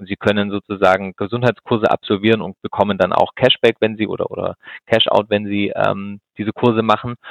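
A man speaks at a fairly quick pace in a fairly low voice. His intonation is flat and monotone. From Swabia, southern Germany (Ulm). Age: 30s. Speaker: insurance executive. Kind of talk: interview. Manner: hesitant, many fillers.

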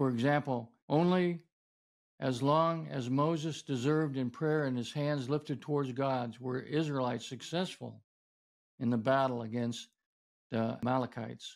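The recording is very clean with a silent background. A man with an ordinary speaking voice talks at medium pitch and a moderate pace, his intonation fairly even. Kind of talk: teaching sermon-style talk on prayer. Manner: earnest, instructive, explanatory.

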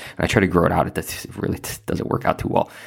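This man talks at a very fast pace with a Chicago accent. The recording is very clean and the background silent. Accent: Chicago-area American. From northern Illinois, Lake County. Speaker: civil rights attorney and podcast host. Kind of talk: monologue commentary.

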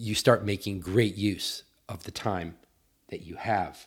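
A man talks with a fairly low pitch and a somewhat breathy sound. The recording is very clean, with a silent background. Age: 40s. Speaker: podcast host. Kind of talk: solo podcast monologue.

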